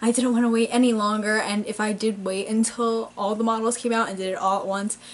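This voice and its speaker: A woman talking very fast in a flat, monotone delivery. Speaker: model horse collector vlogger. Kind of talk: casual vlog chat. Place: home room. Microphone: camera far.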